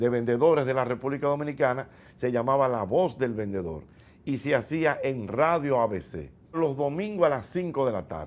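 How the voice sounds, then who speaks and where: Lively in intonation, a man speaks at a medium pitch and a moderate pace. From Dominican Republic. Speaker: radio host and comedian. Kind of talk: interview answer recounting his career. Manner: relaxed, conversational, storytelling.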